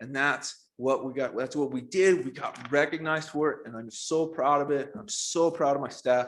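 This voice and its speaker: A man speaks with an enthusiastic tone at a fairly high pitch and ordinary pitch variation. The recording is very clean, with a silent background. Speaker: school principal. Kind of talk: presentation at a school board meeting. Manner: fast.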